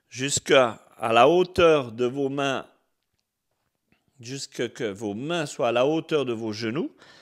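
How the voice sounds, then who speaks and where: A man at medium pitch with ordinary pitch variation and a calm tone, speaking at a very slow pace with long, frequent pauses, in a very clean recording with a silent background. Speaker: fitness coach. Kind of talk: guided exercise class, live stream. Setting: home, live video broadcast. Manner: soft-spoken; calm, slow instructions. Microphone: mic close to mouth.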